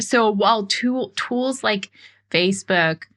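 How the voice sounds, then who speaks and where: A woman's bright, sharp tone with lively intonation at a fairly slow pace. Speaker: marketing podcast host. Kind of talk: podcast monologue. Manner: slow emphatic.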